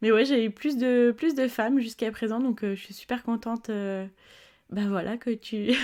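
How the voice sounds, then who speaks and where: Over a silent background in a very clean recording, a woman with a fairly high pitch and a dark, mellow tone speaks at a moderate pace with fairly even intonation. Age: 20s. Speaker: podcast host. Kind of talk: casual interview. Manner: hesitant, many fillers.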